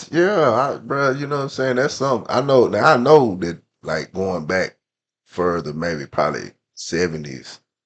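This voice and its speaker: Speaking at a medium pitch with very wide pitch swings, a man with an American accent keeps a moderate pace and shows vocal fry. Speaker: youth sports coach and mentor. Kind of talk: casual chat.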